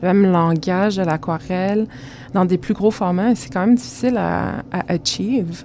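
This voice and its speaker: A woman with fairly low pitch at a moderate pace, ordinary pitch variation, and noticeable background noise. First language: Spanish (speaking French). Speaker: visual artist. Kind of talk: interview.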